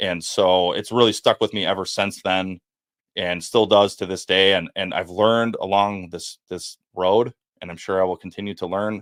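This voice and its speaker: A man with a Wisconsin accent speaks at a moderate pace in a very deep, low pitch with monotone, flat intonation. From Wisconsin, US Midwest. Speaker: former FBI agent and whistleblower. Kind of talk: podcast interview testimony. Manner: halting, repeats words.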